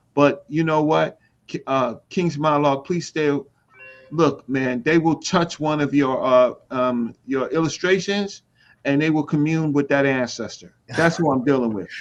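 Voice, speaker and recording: With music in the background, a man of fairly high pitch speaks at a fairly slow pace and ordinary pitch variation. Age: 60s. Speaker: community scholar. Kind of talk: casual chat. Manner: animated.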